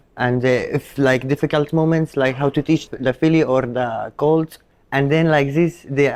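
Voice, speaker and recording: A man with an Arabic accent, fairly high pitch and monotone, flat intonation, in a dry, close sound with no echo. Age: young. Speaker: Arabian horse show handler. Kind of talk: interview. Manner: halting, many fillers.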